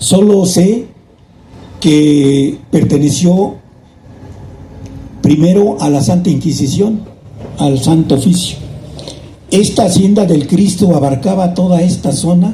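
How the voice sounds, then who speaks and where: A man with a high pitch talks at a very slow pace, with long, frequent pauses. His loudness stays very even and his pitch varies in an ordinary way, with audible room echo. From Mexico, Naucalpan (State of Mexico, Mexico City area). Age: 70s. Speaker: local chronicler. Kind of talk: historical talk to an audience. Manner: conversational, with false starts.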